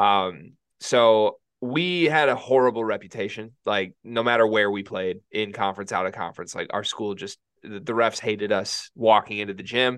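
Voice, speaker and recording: An unremarkable speaking voice moves at a moderate pace with ordinary pitch variation. Its loudness swings widely. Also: man, fairly low pitch for a man. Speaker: sports podcast co-host. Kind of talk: casual chat.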